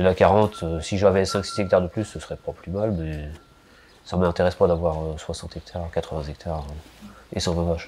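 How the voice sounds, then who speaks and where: A fairly quick pace, with big swings in loudness and a fairly even intonation. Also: man, very deep, low pitch for a man. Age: 40s. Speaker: dairy farmer. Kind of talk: documentary interview. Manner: hesitant, many fillers.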